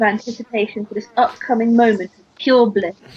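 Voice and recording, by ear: Fairly quick, fairly high-pitched speech from a woman with a slightly husky edge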